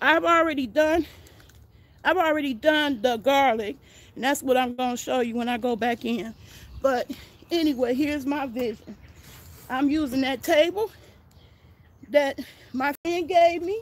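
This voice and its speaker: Taking long, frequent pauses, a woman speaks at a moderate pace in a high voice with ordinary pitch variation. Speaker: gardening vlogger. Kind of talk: casual livestream chat. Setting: outdoors.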